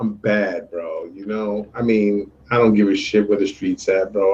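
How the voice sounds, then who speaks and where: A man in a New York accent talks at a fairly slow pace with a fairly low pitch. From New York City, Puerto Rican heritage. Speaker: show co-host. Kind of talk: casual chat.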